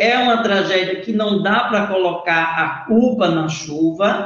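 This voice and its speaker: With audible room echo, a man speaks with ordinary pitch variation. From Brazil, Recife. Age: 40s. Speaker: left-wing party leader. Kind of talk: interview. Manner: hesitant, many fillers.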